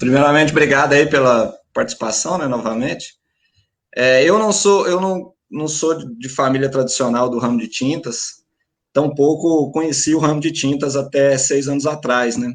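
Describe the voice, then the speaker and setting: Moderate pace and ordinary pitch variation in a fairly high male voice. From Minas Gerais, Brazil. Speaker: paint store franchise owner. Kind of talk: panel discussion. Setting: live stream.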